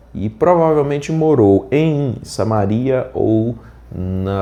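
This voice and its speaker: With a dark, mellow tone, a man's voice moves through very wide pitch swings. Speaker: pastor. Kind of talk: Bible reading with commentary. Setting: unusual location, not the usual studio. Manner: soft-spoken.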